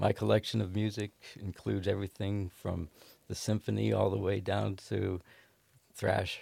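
In an American accent, a man with a very deep, low pitch and vocal fry speaks at a moderate pace in a monotone, flat way with a dark, mellow tone and long, frequent pauses, on a very clean recording with a silent background. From Ohio. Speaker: guitarist in a band.

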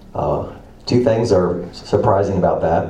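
Background noise is noticeable throughout. A man talks at a very slow pace. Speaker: preacher. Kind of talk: sermon. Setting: church.

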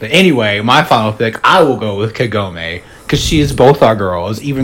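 Noticeable background noise sits behind the speaker. A man of medium pitch talks with an American accent and lively intonation. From US South. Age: 30s. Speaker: podcast host. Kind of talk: casual chat.

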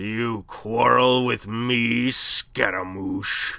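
In a put-on character voice, a man rumbles at medium pitch and a very slow pace, his tone menacing. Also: fairly even intonation. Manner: menacing, thunderous.

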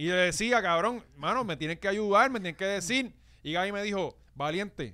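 A man speaks in an animated, raised and projected voice with a Puerto Rican accent, his pitch high and his tone bright and sharp. The recording is very clean with a silent background. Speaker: podcast host. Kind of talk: casual chat.

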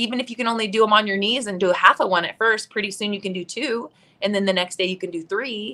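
At a very fast pace, a woman with an American accent speaks at a medium pitch in a bright, sharp tone with ordinary pitch variation. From Idaho. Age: 50s. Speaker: fitness and mindset coach, bodybuilding competitor. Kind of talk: casual interview chat. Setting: live video stream.

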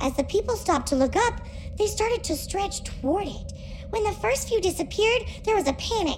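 A put-on character voice that sounds female, pitched extremely high. Background noise is clearly audible. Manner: grave, mournful.

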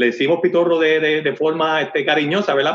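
A man speaks at a fairly high pitch. His pace is moderate. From Puerto Rico, Comerío. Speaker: distillery owner. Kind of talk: interview. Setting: phone call. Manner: halting, many repeated words.

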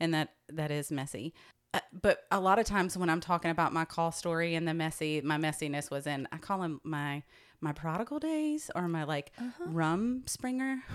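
A woman's unremarkable speaking voice, fairly low in pitch, with lively intonation. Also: moderate pace, very clean recording, silent background. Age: 40s. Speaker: pastor. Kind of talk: casual chat.

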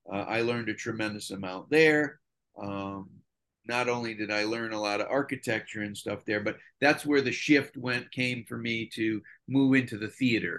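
A man with an American accent speaks at medium pitch with ordinary pitch variation. His pace is moderate, and the background is quiet. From Connecticut. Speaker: television production designer. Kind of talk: interview. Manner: halting.

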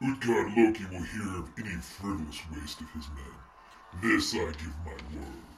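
This is a put-on character voice at a moderate pace. The recording has a slight echo and clear background noise. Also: man, very deep, low pitch for a man. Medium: audio drama. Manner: imperious.

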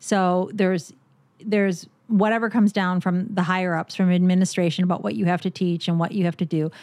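A woman speaks in a plain, everyday voice at medium pitch and a fairly quick pace. Her intonation is fairly even, her loudness very even, and the recording very clean with a silent background. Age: 50s. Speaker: teacher. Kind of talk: casual chat.

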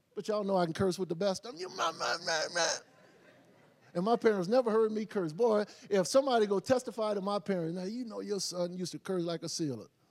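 Shouting at a very fast pace, a man speaks in a high pitch with an animated tone. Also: ordinary pitch variation. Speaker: pastor. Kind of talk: church sermon, call-and-response preaching to a live congregation with streaming viewers. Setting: church with live audience, live streamed. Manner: animated, repetitive call-and-response, urging the crowd to shout back; conversational and joking, with laughter and asides.

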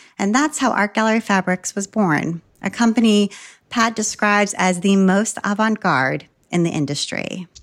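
A woman's ordinary speaking voice at medium pitch, with ordinary pitch variation, a moderate pace and very even loudness, recorded very cleanly against a silent background with a dry, close sound and no echo. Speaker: podcast host. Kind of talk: interview. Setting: lives in Boston.

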